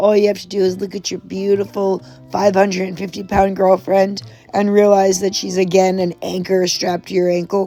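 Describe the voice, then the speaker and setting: Music plays in the background as a woman speaks at a moderate pace and medium pitch. Her intonation stays monotone and flat, while her loudness swings widely. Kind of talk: casual commentary to camera.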